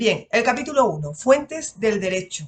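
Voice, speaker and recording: With an Andalusian accent, a woman speaks using lively intonation. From Andalusia, Spain. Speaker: lawyer and exam-prep teacher. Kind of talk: lecture. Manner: casual, conversational.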